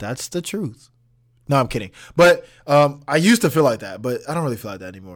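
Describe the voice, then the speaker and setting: A man with a fairly high pitch and an animated tone, talking at a very fast pace with very wide pitch swings and big swings in loudness, on a very clean recording with a silent background. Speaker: student podcast host. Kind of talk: casual solo monologue.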